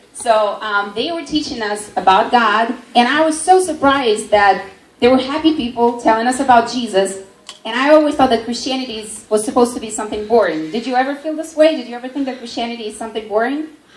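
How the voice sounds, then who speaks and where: A woman with a high voice talks at a very fast pace, her pitch varying in an ordinary way while her loudness swings widely, with audible room echo and noticeable background noise. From Siberia, Russia. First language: Russian. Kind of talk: testimony.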